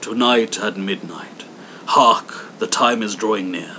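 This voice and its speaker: Fairly slow delivery in a put-on character voice, over clear background noise. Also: man, medium pitch for a man. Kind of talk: Victorian storytelling. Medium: read story.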